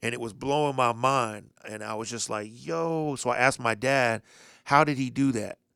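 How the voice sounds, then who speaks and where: Recorded very cleanly against a silent background, a man with an American accent and a bright, sharp tone speaks at a moderate pace, medium in pitch with ordinary pitch variation. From Indianapolis, US Midwest. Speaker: DJ. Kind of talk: casual chat.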